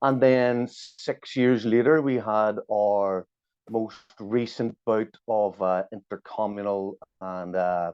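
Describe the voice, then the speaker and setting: This man speaks with a Belfast accent at a very slow pace. His pitch varies in an ordinary way. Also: fairly low pitch for a man. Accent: Belfast Northern Irish. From Northern Ireland, Belfast. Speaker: journalist and activist. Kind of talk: interview.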